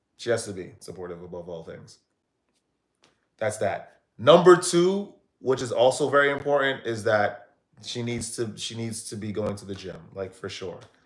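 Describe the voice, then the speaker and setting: An animated man with an American accent at medium pitch, lively intonation, big swings in loudness and a moderate pace. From United States. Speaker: streamer. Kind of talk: live stream chat.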